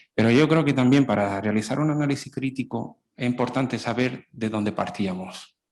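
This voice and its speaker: Speaking with a strong Andalusian accent, a man keeps a moderate pace with hardly any pauses. His pitch is medium and varies in an ordinary way. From Italy. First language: Italian (speaking Spanish). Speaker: public health specialist, panelist. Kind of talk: panel discussion.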